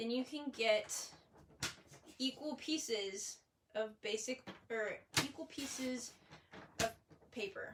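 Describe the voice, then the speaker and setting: Against noticeable background noise, a woman with a high pitch speaks at a very slow pace with long, frequent pauses. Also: ordinary pitch variation. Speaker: paper crafting demonstrator. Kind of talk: live craft tutorial. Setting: livestream. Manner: casual, chatty. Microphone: phone near.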